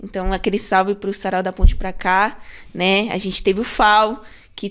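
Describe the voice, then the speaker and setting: A woman talks at a fairly slow pace, her pitch in the medium range. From São Paulo Zona Sul, Brazil. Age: 20s. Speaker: cultural producer and singer. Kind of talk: casual podcast interview. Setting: studio.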